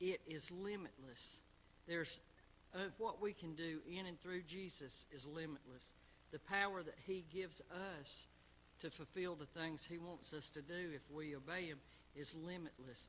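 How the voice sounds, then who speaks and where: With a South Carolina accent, a man speaks at a moderate pace in a high, bright, sharp tone, his intonation fairly even. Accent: Southern US (South Carolina). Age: 60s. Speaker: Sunday school teacher. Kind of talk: Bible lesson. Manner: halting.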